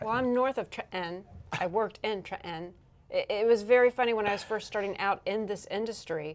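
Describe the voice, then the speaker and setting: Talking at a fairly quick pace, a woman uses a normal speaking voice with fairly high pitch and ordinary pitch variation. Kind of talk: casual, dropping final G's.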